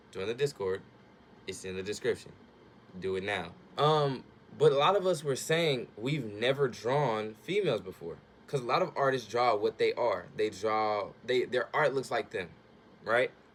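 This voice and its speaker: A man's medium-pitched voice, animated in tone, with lively intonation at a moderate pace. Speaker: youtuber, amateur artist. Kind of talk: casual vlog, drawing talk. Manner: casual, animated.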